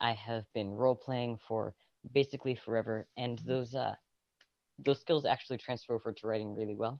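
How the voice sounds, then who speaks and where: The speaker is soft-spoken and talks at a fairly quick pace. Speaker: writer and roleplayer, podcast presenter. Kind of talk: casual chat. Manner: quiet, soft-spoken. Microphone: too quiet at first; phone held close to mouth.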